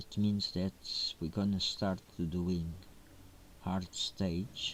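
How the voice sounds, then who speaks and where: A soft-spoken man talks at a very slow pace with a very deep, low pitch. His intonation is monotone and flat. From Portugal. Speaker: gaming streamer. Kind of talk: gameplay commentary. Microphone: quiet, low sound quality.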